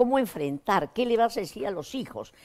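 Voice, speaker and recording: A woman's voice climbs and falls through very wide pitch swings. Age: 80s+. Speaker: psychotherapist; guest. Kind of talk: interview. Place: studio. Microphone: lapel.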